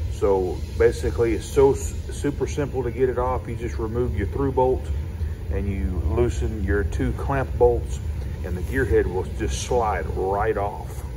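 Against noticeable background noise, a man talks at a fairly slow pace in a very deep, low pitch. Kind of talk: tutorial. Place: workshop. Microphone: phone near.

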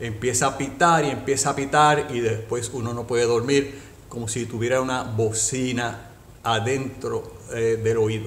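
A man at a medium pitch and moderate pace, fairly bright in tone, with fairly even intonation, few pauses and audible room echo

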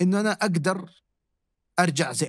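A man at a fairly slow pace. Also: quiet background. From Saudi Arabia. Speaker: inventor; podcast guest. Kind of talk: interview conversation. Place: studio.

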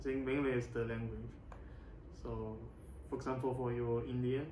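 A man at a moderate pace, with light background noise and audible echo in the room. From China. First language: Chinese. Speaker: postdoctoral researcher. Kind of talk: interview. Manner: halting. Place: office. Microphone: camera far.

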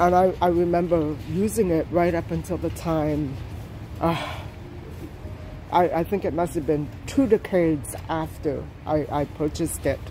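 Light background noise sits behind the voice. The sound is dry, with no echo. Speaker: shopping vlogger. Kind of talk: casual vlog chat. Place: shop. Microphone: phone near.

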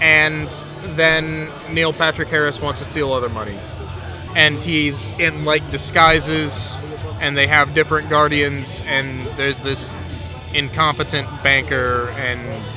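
Clear music plays in the background as a man talks at a fairly slow pace. The sound is dry with no echo, and his pitch variation is ordinary. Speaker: show host. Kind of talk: casual review discussion. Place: bar. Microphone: studio mic.

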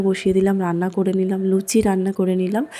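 A woman with a normal speaking voice talks at a medium pitch. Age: 20s. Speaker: village vlogger housewife. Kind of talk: vlog narration.

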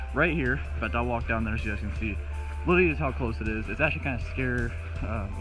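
A man talks while clear music plays behind him. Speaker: home tour vlogger. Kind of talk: casual vlog chat. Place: garden. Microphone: phone near.

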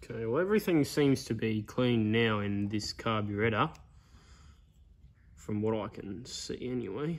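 Here a man talks at a moderate pace. His pitch is fairly low and his intonation lively.

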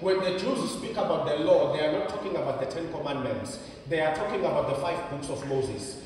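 A man's voice carries strong echo from the room along with light noise behind it. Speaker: preacher. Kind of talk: sermon. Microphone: handheld.

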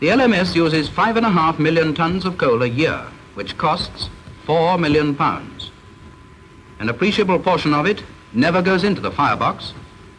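Stern in tone, a man speaks in a high voice with lively intonation. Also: moderate pace. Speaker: film narrator. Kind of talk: scripted narration. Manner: formal, measured, brisk; stern, instructive, dry.

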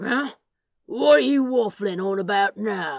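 Growling in a put-on character voice, the speaker holds a middle pitch. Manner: growling, confused.

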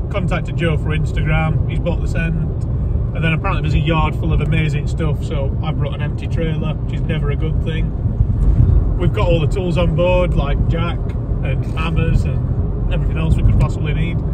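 Loud background noise surrounds a man talking at a fairly quick pace, the sound itself dry with no echo. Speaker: vlogger. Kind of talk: casual vlog chat. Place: car. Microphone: phone near.

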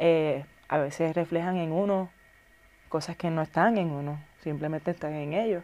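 Her tone is dark and mellow. The woman keeps a moderate pace. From Puerto Rico. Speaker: actress and influencer; actress, influencer. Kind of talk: casual interview chat. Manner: animated. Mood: relaxed, reflective. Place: studio. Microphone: lapel.

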